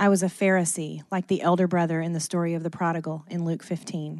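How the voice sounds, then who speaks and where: With an American accent and an unremarkable speaking voice, a woman talks at a fairly quick pace in a fairly low pitch against a quiet background. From US South, Athens, Georgia. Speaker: church member sharing testimony. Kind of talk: testimony. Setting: stage with audience.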